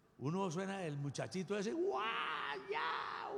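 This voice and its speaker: A man talks in an animated tone at a high pitch and a fairly slow pace. Audible room echo surrounds his voice. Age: 60s. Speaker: pastor. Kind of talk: sermon.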